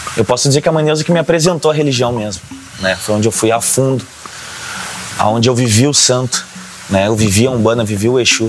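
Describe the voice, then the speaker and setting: A man with a medium-pitched voice and ordinary pitch variation speaks at a fairly quick pace, with long, frequent pauses and noticeable background noise. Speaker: religious drummer and singer. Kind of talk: documentary interview testimony.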